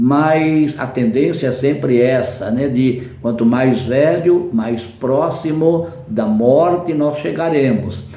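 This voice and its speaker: A man talks very slowly at a medium pitch with ordinary pitch variation and hardly any pauses. Audible room echo and noticeable background noise surround him. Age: 70s. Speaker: preacher. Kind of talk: sermon.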